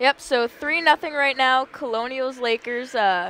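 Light background noise sits under a woman's dry, echo-free voice with fairly even intonation. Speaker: student sports broadcaster; intermission reporter. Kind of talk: casual sports analysis. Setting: arena broadcast. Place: stadium.

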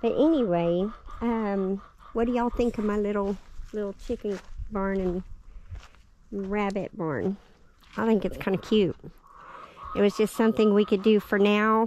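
A woman speaks at a moderate pace with fairly even intonation and long, frequent pauses. The sound is dry with no echo, over light background noise. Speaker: homesteader vlogger. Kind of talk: casual vlog chat. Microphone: phone near.

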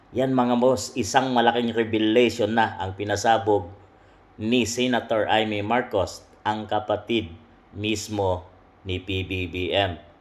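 Very slowly, a man speaks at a fairly low pitch with fairly even intonation. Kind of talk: news commentary, sensational.

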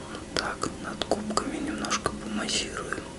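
Fairly slowly, a man speaks in a whisper. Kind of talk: soft roleplay guidance, addressing the viewer. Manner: soft, hushed ASMR murmur. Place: home room.

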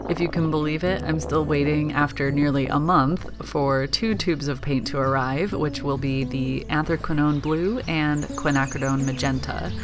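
The speech moves at a moderate pace with hardly any pauses. Clear music plays in the background. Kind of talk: reflective voice-over commentary.

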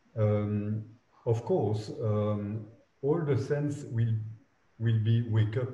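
With audible room echo, a man speaks very slowly in a fairly low, somewhat breathy voice with a dark, mellow tone and ordinary pitch variation. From Belgium. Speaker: architect. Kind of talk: interview. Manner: halting. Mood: reflective, calm. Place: office. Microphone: video call.

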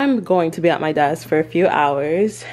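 A woman speaks at a very deep, low pitch. Her tone is dark and mellow. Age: 20s. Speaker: vlogger; lifestyle vlogger. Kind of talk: casual vlog talk to camera. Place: home room. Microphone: phone near.

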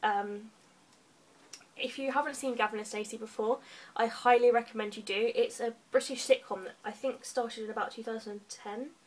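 Speaking at a moderate pace with an English accent, the woman has a fairly high pitch. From England. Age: 20s. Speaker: book vlogger. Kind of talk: casual monologue. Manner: animated. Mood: cheerful, enthusiastic. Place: home room. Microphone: webcam.

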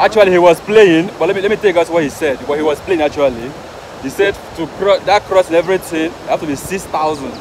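Talking at a very fast pace and a high pitch for a man, a man is heard with noticeable background noise and a dry sound with no echo. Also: ordinary pitch variation. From Nigeria. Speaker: travel vlogger. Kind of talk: vlog narration; haggling. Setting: outdoors. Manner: animated.

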